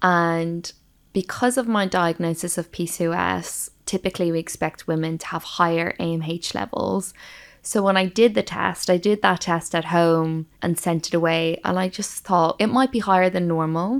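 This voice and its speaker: Speaking at a moderate pace in an Irish accent, a woman has a fairly low pitch and ordinary pitch variation. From Ireland. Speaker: medical doctor and nutritionist. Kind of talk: interview.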